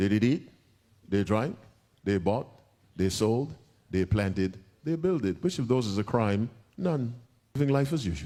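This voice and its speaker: Lively intonation marks this man's medium-pitched voice at a moderate pace. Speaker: Adventist preacher. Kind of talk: sermon delivered to a live audience, answering a question.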